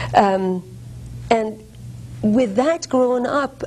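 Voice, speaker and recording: A woman speaks with a German accent. Her pitch varies in an ordinary way. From Germany (Darmstadt), early childhood in Iran. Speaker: guest speaker on women's rights. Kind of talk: interview.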